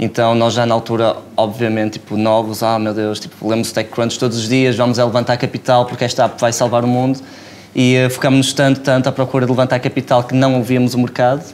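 Light background noise sits behind the voice. A man speaks very fast in a monotone, flat delivery. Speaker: startup founder. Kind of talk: casual interview chat. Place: studio. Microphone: lapel.

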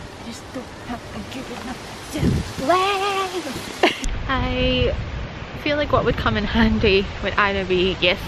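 Loud background noise sits behind a woman speaking at a very slow pace with a Scottish accent, the sound dry with no echo. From Scotland. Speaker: wildlife photographer. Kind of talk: casual talk to camera. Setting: outdoors. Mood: cheerful, self-deprecating. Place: open country. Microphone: phone near.

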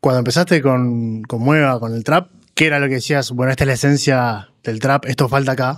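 Over a quiet background, a man speaks in a Rioplatense accent. His pace is fairly quick. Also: fairly even intonation. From Argentina. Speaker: podcast host. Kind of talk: interview. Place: studio. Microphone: studio mic.

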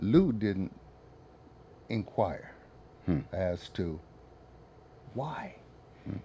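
A man with an American accent speaks very slowly in a fairly low, dark and mellow voice, somewhat breathy, with lively intonation, long and frequent pauses, and light background noise. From northern US. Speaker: military veteran. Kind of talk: casual chat. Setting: studio. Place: studio.

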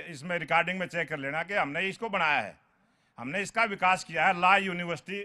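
A man speaks in a high voice at a moderate pace. His pitch varies in an ordinary way, and the background is quiet. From Haryana, Sonipat area; Haryana. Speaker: local politician. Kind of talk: political debate. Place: garden. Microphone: handheld.

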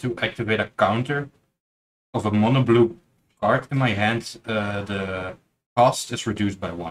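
Moderate in pace, this is a plain, everyday voice. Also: man. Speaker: card game player and tournament judge. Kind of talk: casual chat during card game match. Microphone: camera far.

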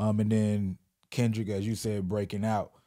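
A man's fairly low voice at a moderate pace, with fairly even intonation over a quiet background. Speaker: podcast host. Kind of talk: casual interview. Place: studio. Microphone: handheld.

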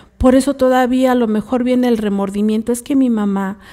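In a quiet setting, a woman with a Mexican accent talks at a moderate pace in a dark, mellow tone with fairly even intonation. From Mexico. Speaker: co-host; radio show host or guest. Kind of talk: live radio talk. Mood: earnest, advising. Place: studio. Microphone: studio mic.

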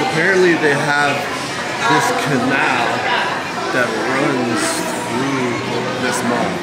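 A man speaking at a very slow pace with long, frequent pauses, ordinary pitch variation, and crowd noise in the background. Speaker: travel vlogger. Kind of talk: casual vlog chat. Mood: upbeat, playful. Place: market. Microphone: phone near.

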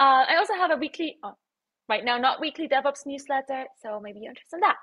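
Against a quiet background, a woman is speaking. Her pace is very fast. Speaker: conference presenter. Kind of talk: conference talk.

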